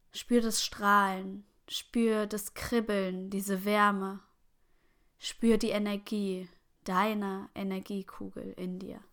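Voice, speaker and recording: In a very clean recording with a silent background, a woman speaks very slowly at a medium pitch, calm and soothing yet monotone and flat, with big swings in loudness. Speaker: meditation guide. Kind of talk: guided meditation. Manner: slow, calm, soothing; gentle, unhurried pacing with long pauses.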